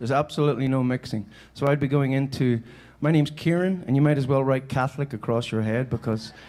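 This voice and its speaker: Rapid-fire, a man with a medium pitch and a Northern Irish accent speaks at a very fast pace. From Northern Ireland, Belfast. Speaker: musician and keynote speaker. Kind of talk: keynote speech. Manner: animated.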